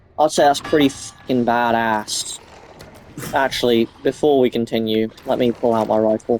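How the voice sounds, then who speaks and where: At a moderate pace, a man speaks with fairly even intonation and very even loudness over noticeable background noise. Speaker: gamer commentator. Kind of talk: casual gameplay commentary.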